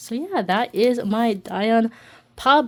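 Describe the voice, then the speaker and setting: The woman's voice sits fairly high in pitch. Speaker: K-pop collector vlogger. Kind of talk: casual vlog narration. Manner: stumbling over words.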